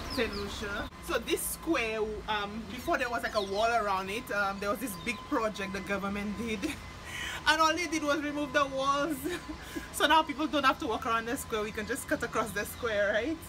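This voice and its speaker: A woman at a moderate pace with ordinary pitch variation, music in the background. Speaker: vlogger. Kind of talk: casual vlog chat. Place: street. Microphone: phone near.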